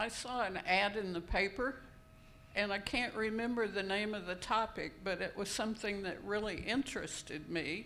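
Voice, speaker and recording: Audible room echo surrounds a woman speaking at medium pitch and a moderate pace. Her tone is bright and sharp, with fairly even intonation. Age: 70s. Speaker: retired downsizer, panelist. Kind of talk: panel discussion. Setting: conference room with audience.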